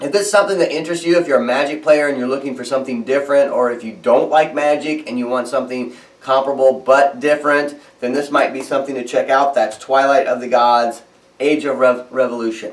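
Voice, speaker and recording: The delivery is very fast, with fairly even intonation. Noticeable background noise is present. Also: man, fairly high pitch for a man. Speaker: board game news host. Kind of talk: news roundup monologue.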